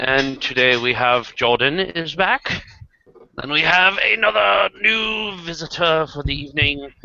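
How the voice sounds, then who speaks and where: With lively intonation and a fairly high pitch, a man speaks over noticeable background noise. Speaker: video hangout host. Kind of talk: casual chat. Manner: animated.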